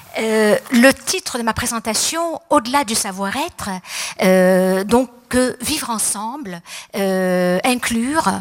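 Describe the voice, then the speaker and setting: A woman's fairly high voice at a very slow pace, with noticeable background noise. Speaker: psychologist and speaker. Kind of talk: conference talk. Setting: stage with audience. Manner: hesitant, many fillers.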